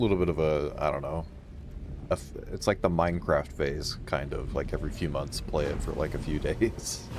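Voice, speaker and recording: With music in the background, a man with a very deep, low pitch talks at a moderate pace. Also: ordinary pitch variation. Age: 30s. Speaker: gaming streamer. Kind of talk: casual chat. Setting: live stream. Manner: halting.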